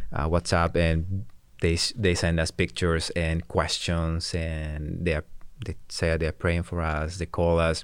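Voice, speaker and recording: A man with a Spanish accent speaks in a very deep, low pitch at a fairly slow pace. His intonation is monotone and flat, on a very clean recording with a silent background. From Peru, Ayacucho mountains. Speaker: missionary, soccer ministry leader. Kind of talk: casual chat. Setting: studio. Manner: halting.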